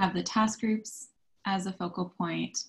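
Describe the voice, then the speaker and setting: A woman's voice comes across as somewhat breathy. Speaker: sustainability consultant; presenter. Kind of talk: virtual committee meeting presentation. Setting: video call. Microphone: video call.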